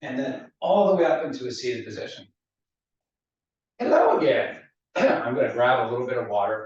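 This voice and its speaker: A man speaks in a calm tone at a fairly quick pace, with long, frequent pauses. Room echo is audible. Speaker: fitness instructor. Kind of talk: guided exercise class. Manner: instructional, calm.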